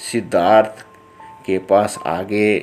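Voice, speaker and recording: A man speaks at a fairly low pitch, his intonation fairly even. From Haryana. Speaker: lawyer. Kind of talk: religious book narration in dialect.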